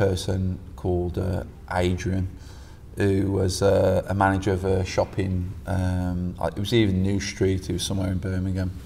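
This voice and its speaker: A man's very deep, low voice, somewhat breathy with a dark, mellow tone, stays monotone and flat amid audible room echo. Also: moderate pace. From West Midlands, England (Stourbridge). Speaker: jiu-jitsu coach. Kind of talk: casual chat.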